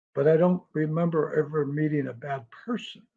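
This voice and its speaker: This man's voice is somewhat breathy, with a dark, mellow tone and a fairly high pitch, moving at a moderate pace. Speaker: hypnotist. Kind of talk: interview answer.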